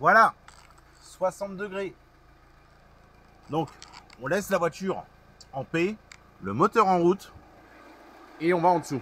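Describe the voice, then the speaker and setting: A high-pitched man's voice with ordinary pitch variation and long, frequent pauses. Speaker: car mechanic youtuber. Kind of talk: tutorial. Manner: loud.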